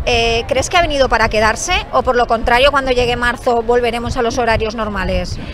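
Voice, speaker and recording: The loudness stays very even, with hardly any pauses. Background noise is noticeable. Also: woman, high pitch for a woman, fairly quick pace. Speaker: interviewer. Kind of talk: interview questions.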